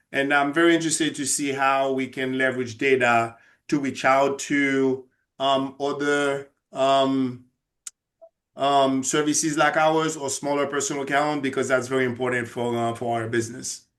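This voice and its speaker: A man with a Haitian accent speaks at a moderate pace in a fairly high pitch, with monotone, flat intonation, against a quiet background. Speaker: senior care agency representative. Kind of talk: workshop introduction.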